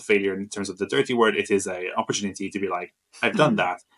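With a dry, close sound and no echo, a man with a fairly low voice speaks at a very fast pace and fairly even intonation. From Malta. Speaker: interior designer. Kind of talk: interview.

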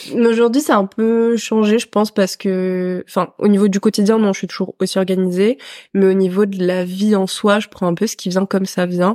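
On a very clean recording with a silent background, a woman uses an ordinary speaking voice at a moderate pace with fairly even intonation. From France (raised abroad: Senegal, Peru, then France from age 11). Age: 20s. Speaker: physiotherapy student. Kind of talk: casual chat. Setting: in person with host.

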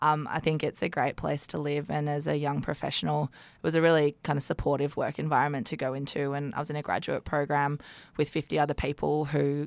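A woman with an Australian accent at a fairly quick pace, on a very clean recording with a silent background. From Sydney, Australia. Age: 30s. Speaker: regional development executive. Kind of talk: interview. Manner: hesitant with frequent fillers.

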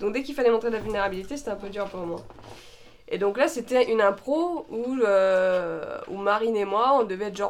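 A woman's fairly high pitch at a fairly quick pace, with ordinary pitch variation over noticeable background noise. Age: 20s. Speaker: actress. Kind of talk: casual chat with improv. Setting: studio, shared microphones.

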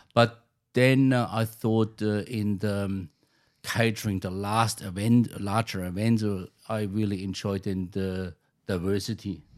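The speaker talks at a fairly slow pace in a German accent, with monotone, flat intonation. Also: man, fairly low pitch for a man, very clean recording, silent background. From Germany. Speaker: chef. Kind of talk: interview. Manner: halting.

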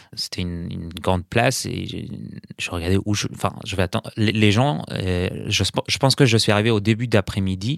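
The recording is very clean, with a silent background and a dry, close sound with no echo. A man talks at a moderate pace with ordinary pitch variation. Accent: Arabic. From Syria, Aleppo. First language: Arabic (speaking French). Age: 30s. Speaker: perfumer, political refugee. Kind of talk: interview. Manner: halting, many repetitions and hesitations.

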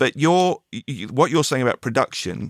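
With an English accent and lively intonation, a man speaks in a dry, close sound with no echo. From England. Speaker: podcast host and musician. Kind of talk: casual interview. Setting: video call.

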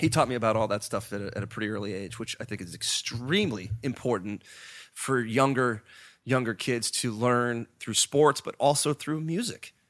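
A man speaks with an American accent in an ordinary speaking voice at a medium pitch, ordinary pitch variation and a moderate pace. The recording is very clean, with a silent background. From US, Pittsburgh. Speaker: rock band musician. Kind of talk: casual interview chat.

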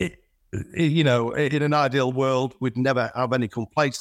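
A man with a Yorkshire accent comes through a very clean recording with a silent background and a dry, close sound with no echo. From Yorkshire, northern England (Selby). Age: 50s. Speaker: flooring business owner. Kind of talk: casual interview. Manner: halting, many fillers and repeats.

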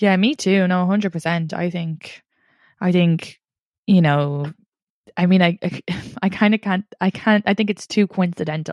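Fairly even intonation with long, frequent pauses against a quiet background. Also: woman, medium pitch for a woman, moderate pace, dry, close sound with no echo. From Ireland, Longford. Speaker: comedian and podcaster. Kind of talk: casual chat.

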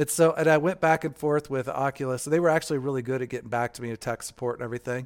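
Someone with an American accent speaks very fast with hardly any pauses and fairly even intonation in a very clean recording with a silent background. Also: man, fairly high pitch for a man. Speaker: podcast host. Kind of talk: casual chat. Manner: laughs often.

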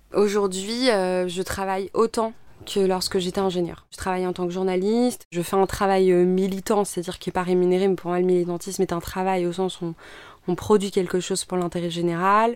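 On a very clean recording with a silent background, a woman with a medium pitch speaks at a fairly quick pace in a monotone, flat delivery. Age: 30s. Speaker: environmental activist and former engineer. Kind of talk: personal testimony interview. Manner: hesitant, many fillers.

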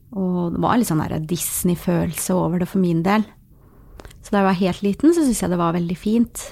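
The tone is dark and mellow, moving at a fairly quick pace with ordinary pitch variation. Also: woman, medium pitch for a woman. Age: 30s. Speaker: social work student and chat volunteer. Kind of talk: casual interview.

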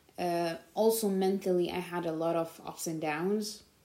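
Audible room echo surrounds a woman whose voice sits fairly low. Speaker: podcast host. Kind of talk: solo monologue podcast.

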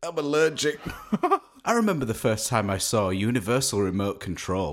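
This man talks at a fairly quick pace and a medium pitch. He has a plain, everyday voice. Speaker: podcast co-host. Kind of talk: casual comedic chat. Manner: jokey, laughing.

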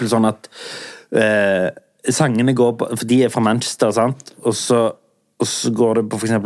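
Flat and monotone in intonation, a man speaks fairly slowly at a medium pitch. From southern Norway. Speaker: podcast host. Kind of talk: casual chat.

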